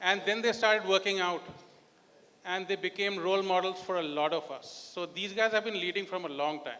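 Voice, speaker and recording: A man speaks in a raised, projected voice with high pitch. His pace is fairly quick and his intonation fairly even. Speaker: audience member asking a question. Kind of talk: audience question.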